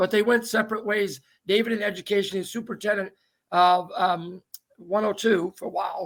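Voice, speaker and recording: A man's high-pitched voice with fairly even intonation and a Maine accent. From Maine, Downeast coast. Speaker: talk show host. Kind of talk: casual interview chat. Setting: video call.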